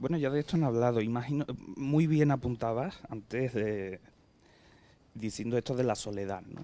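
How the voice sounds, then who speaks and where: This man's voice is medium-pitched with a dark, mellow tone. He talks at a moderate pace. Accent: Andalusian. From southern Tenerife, Ukrainian family. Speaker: writer. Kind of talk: podcast interview. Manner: hesitant, with fillers.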